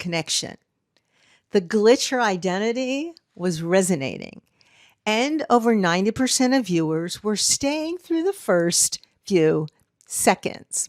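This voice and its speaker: This woman's voice sits at a medium pitch and swings very widely. The sound is dry and close, with no echo. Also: very clean recording, silent background. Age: 60s. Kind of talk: casual talk to camera.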